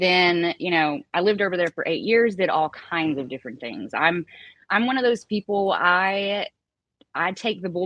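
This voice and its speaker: Speaking at a moderate pace with a Southern accent, a woman uses a medium pitch and lively intonation. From US South, Appalachia (Galax, Virginia). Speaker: baker and singer. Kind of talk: casual chat.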